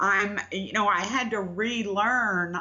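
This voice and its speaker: A woman talks at a very slow pace. Her pitch is medium. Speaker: promotional marketing consultant. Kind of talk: interview. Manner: halting with repeated words.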